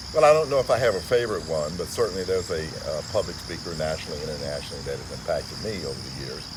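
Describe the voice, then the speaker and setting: Very deep and low in pitch, a man talks at a very fast pace with hardly any pauses, very wide pitch swings and big swings in loudness, over noticeable background noise and audible room echo. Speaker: motivational speaker. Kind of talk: interview. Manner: formal.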